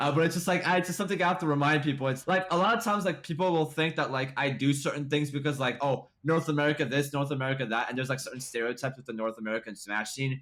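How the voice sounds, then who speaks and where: Very fast, animated speech from a man with a fairly high pitch, ordinary pitch variation and hardly any pauses. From France. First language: French. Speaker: esports tournament organizer. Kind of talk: casual interview chat. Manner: animated, full of fillers and restarts.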